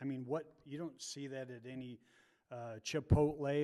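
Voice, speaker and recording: Here a man has a dark, mellow tone and a fairly high pitch. He keeps his intonation fairly even at a moderate pace. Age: 60s. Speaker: public commenter at city meeting. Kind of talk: public comment at zoning hearing. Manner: rambling, hesitant with repetitions.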